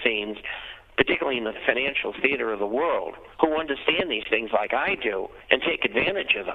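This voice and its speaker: The speaker has an American accent and lively intonation at a fairly quick pace. Noticeable background noise runs underneath. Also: man. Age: 70s. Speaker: financial newsletter editor. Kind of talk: interview.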